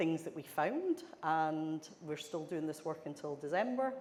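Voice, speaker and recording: Speaking in a Scottish accent, a woman with a fairly low pitch goes at a fairly slow pace amid audible room echo. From Scotland. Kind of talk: conference presentation.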